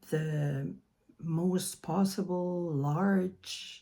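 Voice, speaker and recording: On a very clean recording with a silent background, a woman with a dark, mellow tone speaks at a very slow pace with fairly even intonation. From New Brunswick, Canada (French-speaking). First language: French. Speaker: mandala artist and children's author. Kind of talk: casual video introduction. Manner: halting, many fillers.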